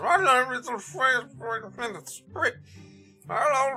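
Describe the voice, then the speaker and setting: A female-sounding, put-on character voice speaks high and fairly slowly. Faint music plays in the background. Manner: cheerful.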